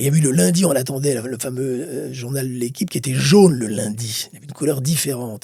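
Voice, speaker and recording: A man of medium pitch talks very fast, his somewhat breathy voice dark and mellow in tone, with big swings in loudness. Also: ordinary pitch variation. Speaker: boxing commentator. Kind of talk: interview. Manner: animated.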